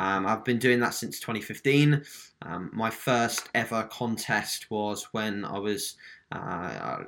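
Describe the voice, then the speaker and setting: A man speaks fairly slowly in a British accent, his pitch medium with ordinary variation. The recording is very clean, with a silent background. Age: 20s. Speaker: online fitness coach. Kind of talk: podcast interview.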